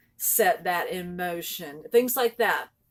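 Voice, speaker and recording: The recording is very clean, with a silent background. A woman speaks with lively intonation. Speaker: spiritual vlogger. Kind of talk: casual talk to camera. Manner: raises pitch when excited.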